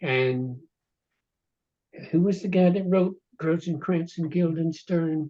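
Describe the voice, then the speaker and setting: With a dark, mellow tone and a high pitch, a man talks very slowly with fairly even intonation and long, frequent pauses. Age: 80s. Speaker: novelist. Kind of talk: casual chat. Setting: video call.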